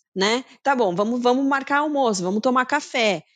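A woman with an unremarkable speaking voice, lively intonation and a moderate pace, against a quiet background. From Brazil, Campinas (São Paulo state). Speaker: marketing executive. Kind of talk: interview.

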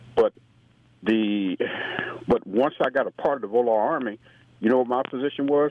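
A man at a medium pitch and moderate pace, with ordinary pitch variation, long, frequent pauses and noticeable background noise. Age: 70s. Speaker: caller. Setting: phone call.

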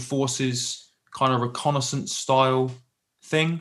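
Against a quiet background, a man with a West Country accent speaks at a fairly high pitch. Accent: southwest English (Plymouth). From southwest England. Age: 30s. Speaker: military veteran and business leader. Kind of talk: casual interview, telling his life story.

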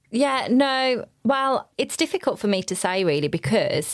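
Someone with a Birmingham accent speaks at a fairly slow pace with lively intonation. The recording is very clean, the background silent. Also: woman, dry, close sound with no echo. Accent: Birmingham (Brummie). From Birmingham, England. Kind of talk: casual chat. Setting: holiday in Cornwall.

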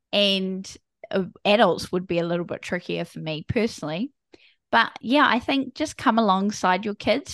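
Over a quiet background, a woman with a New Zealand accent talks at medium pitch and moderate pace, with lively intonation. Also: dry, close sound with no echo. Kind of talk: interview.

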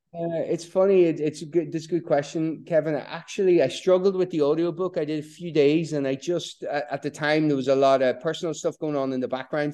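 This man speaks with a Donegal Irish accent. His tone is dark and mellow. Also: quiet background. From northwest Ireland (Donegal, Bundoran). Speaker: author and surfer. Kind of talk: casual interview.

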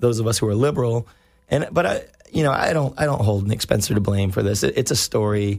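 Very fast and very even in loudness, a man with a somewhat breathy, medium-pitched voice speaks with ordinary pitch variation. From US South, North Carolina. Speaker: comic book store owner. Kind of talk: casual chat. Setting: studio.

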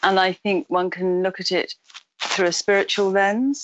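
A woman with a medium pitch at a moderate pace. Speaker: psychiatrist and author. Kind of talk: interview answers. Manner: hesitant, thoughtful.

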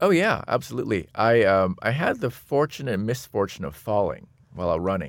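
Over a very clean recording with a silent background, a man with a fairly low pitch and some vocal fry talks at a moderate pace with lively intonation. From US, Seattle. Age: 50s. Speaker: designer and technologist. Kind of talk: interview conversation.

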